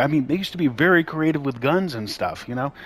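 Over noticeable background noise, a man talks very fast in a fairly high pitch. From New York. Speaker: gaming YouTuber. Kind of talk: video game review rant.

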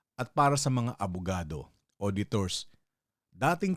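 An ordinary speaking voice from a man, lively intonation at a moderate pace, on a very clean recording with a silent background. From Philippines. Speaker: political commentary vlogger. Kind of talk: solo commentary monologue. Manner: casual, conversational.

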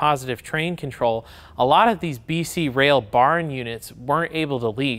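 A man with an American accent at a moderate pace. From US Midwest, south central Michigan. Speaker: model train company presenter; presenter. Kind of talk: product video presentation. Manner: enthusiastic. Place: factory.

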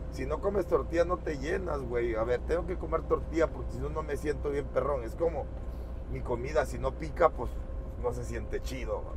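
There is noticeable background noise around a man whose voice has a dry sound with no echo. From rural Mexico. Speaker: truck driver vlogger. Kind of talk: casual vlog narration. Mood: relaxed, joking. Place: car.

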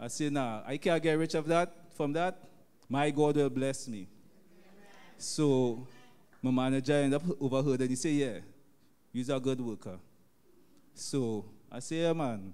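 Long pauses come often as a man speaks at a moderate pace with medium pitch. His tone is dark and mellow, with ordinary pitch variation. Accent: Trinidadian. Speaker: taxi driver. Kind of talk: testimony. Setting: church.

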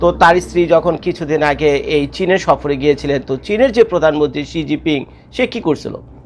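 The speaker is a man with an unremarkable speaking voice. His pitch sits fairly high. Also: ordinary pitch variation. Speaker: YouTube commentator. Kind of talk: casual video commentary.

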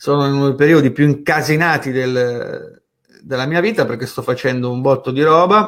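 A man with a fairly high pitch, ordinary pitch variation and a moderate pace. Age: 30s. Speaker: online marketing educator. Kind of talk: live stream talk. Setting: live stream from home office. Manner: casual.

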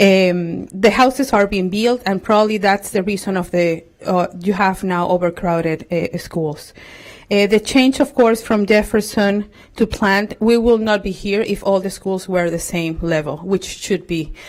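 With a Spanish accent and ordinary pitch variation, this speaker goes at a fairly slow pace in a very clean recording with a silent background. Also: woman, medium pitch for a woman. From Venezuela. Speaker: parent, public commenter. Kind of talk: public comment at a school board meeting. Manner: halting.

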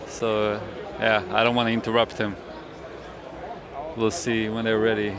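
At a moderate pace, a man talks in a flat monotone, the sound dry with no echo but with noticeable background noise. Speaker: vlogger. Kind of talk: casual vlog chat. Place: hall. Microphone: handheld.

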